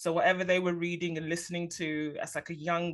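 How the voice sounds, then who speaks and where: A woman talks fairly quickly in a London accent. Her fairly low voice stays monotone, with flat intonation. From London, England. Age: 30s. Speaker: podcast host. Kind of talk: interview.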